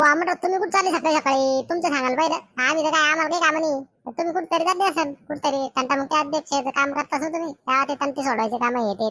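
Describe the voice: A woman uses a cartoonish character voice with a high pitch at a moderate pace, and the sound is dry and close with no echo.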